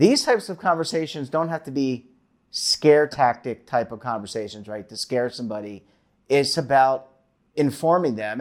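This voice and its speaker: It is a normal speaking voice. A man talks at a fairly quick pace, fairly high in pitch, with lively intonation. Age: 50s. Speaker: financial show host. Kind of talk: interview.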